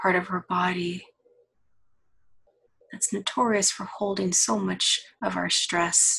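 Long, frequent pauses break up a woman's very slow pace of speech. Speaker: counselor. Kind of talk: guided body-scan meditation. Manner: slow, soft-spoken.

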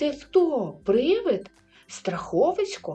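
A put-on character voice speaks at a very slow pace, shaky and with very wide pitch swings. Faint music plays in the background. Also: woman. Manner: frightened, trembling.

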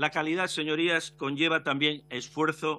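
Bright, sharp tone in a man's voice. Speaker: opposition deputy. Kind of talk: parliamentary speech, defending family choice in education. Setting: parliamentary committee hearing. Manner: earnest, formal, measured. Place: hall. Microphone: podium.

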